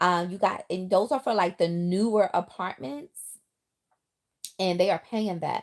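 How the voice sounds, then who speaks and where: In a very clean recording with a silent background, a woman with an American accent speaks at medium pitch and a fairly slow pace, with long, frequent pauses. Her tone is animated, and her pitch varies in an ordinary way. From New York, the Bronx. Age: 40s. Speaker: livestreamer. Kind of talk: casual livestream chat. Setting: in bed, live stream.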